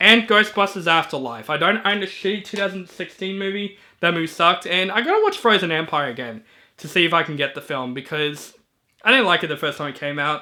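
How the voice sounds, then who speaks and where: Animated and high-pitched, a man talks at a very fast pace with lively intonation. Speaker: movie reviewer YouTuber. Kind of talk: casual monologue. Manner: stutters, frequent fillers; casual, animated.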